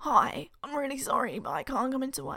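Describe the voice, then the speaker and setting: Using a put-on character voice, a woman speaks at a high pitch and a fairly quick pace. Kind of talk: apologetic, casual.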